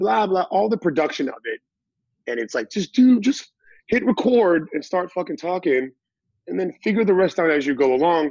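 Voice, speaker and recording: With an American accent, a man talks in a high, energetic voice at a fairly quick pace, his intonation lively. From Massachusetts, US. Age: 30s. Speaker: DJ and personal trainer. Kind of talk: casual chat.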